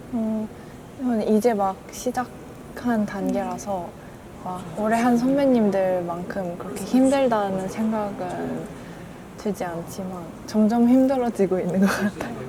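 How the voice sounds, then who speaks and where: Over noticeable background noise and audible room echo, a woman talks at a very slow pace, with medium pitch and ordinary pitch variation. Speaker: university student. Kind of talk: casual interview.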